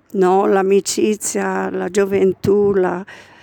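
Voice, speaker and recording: A woman talks at a very slow pace over noticeable background noise. The sound is dry and close, with no echo. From Caino, province of Brescia. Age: old. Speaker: caretaker of a small church. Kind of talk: interview.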